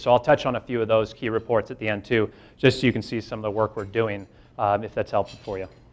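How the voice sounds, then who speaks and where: This man's voice is loud. He talks at a fairly quick pace. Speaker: investment firm executive. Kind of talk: presentation.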